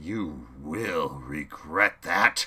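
In a put-on character voice, a man rumbles at a very deep, low pitch. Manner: enraged, threatening.

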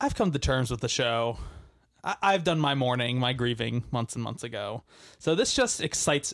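In a very clean recording with a silent background, a man uses an ordinary speaking voice at a medium pitch and a moderate pace. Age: 20s. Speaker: movie podcast co-host. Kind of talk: casual chat.

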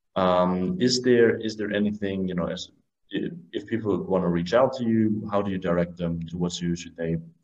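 A man speaks with a German accent at a moderate pace. His fairly low voice shows ordinary pitch variation. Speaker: podcast host. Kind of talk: interview. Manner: halting.

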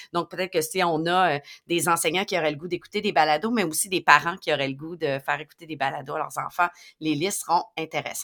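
Dry and close with no echo, a woman's bright, sharp voice sits fairly low in pitch and rushes at a very fast pace with fairly even intonation. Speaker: educational technology podcast co-host. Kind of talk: educational podcast talk.

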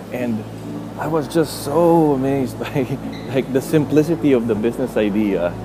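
Over noticeable background noise, a man with a Filipino accent speaks with ordinary pitch variation. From Philippines. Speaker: podcast host. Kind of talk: motivational monologue. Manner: halting.

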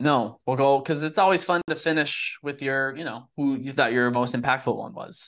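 A man with a plain, everyday voice and a fairly high pitch talks at a moderate pace with hardly any pauses, ordinary pitch variation and big swings in loudness. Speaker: sports podcast host. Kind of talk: casual sports chat.

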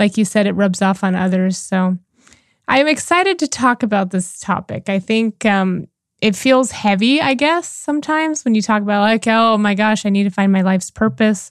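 A woman speaks in a normal speaking voice at a medium pitch with lively intonation, on a very clean recording with a silent background. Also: moderate pace. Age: 40s. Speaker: life and relationship coach, podcast co-host. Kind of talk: casual chat.

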